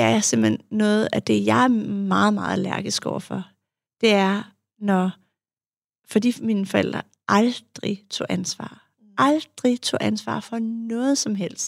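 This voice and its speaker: In a dry, close recording with no echo, a woman speaks at a very slow pace with long, frequent pauses. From Denmark, Farum. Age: 40s. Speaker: psychologist and author. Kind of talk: interview about personal life. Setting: studio.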